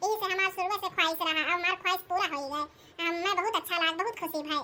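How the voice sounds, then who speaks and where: Using a cartoonish character voice, a woman talks at a very fast pace. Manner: chatty, affectionate.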